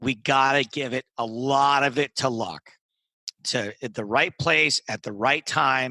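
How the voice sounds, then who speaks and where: The sound is dry and close, with no echo. A man with a medium pitch and a bright, sharp tone speaks at a very slow pace with ordinary pitch variation. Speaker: poker commentator and comedian, interview guest. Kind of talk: podcast interview answer.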